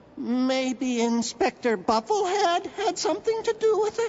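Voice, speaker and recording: A cartoonish character voice at an extremely high pitch swings very widely in pitch. It moves at a moderate pace over clear background noise. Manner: eager, friendly.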